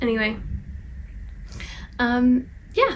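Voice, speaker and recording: A woman talks over noticeable background noise. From England, Bristol. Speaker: vlogger. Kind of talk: casual chat. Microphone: poor sound quality.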